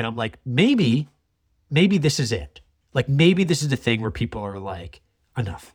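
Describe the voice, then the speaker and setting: Somewhat breathy and at a moderate pace, this voice with a Canadian accent moves through very wide pitch swings in a very clean recording with a silent background. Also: man. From Canada, Toronto area. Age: 30s. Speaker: wildlife filmmaker. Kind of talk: interview conversation. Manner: halting, many repetitions.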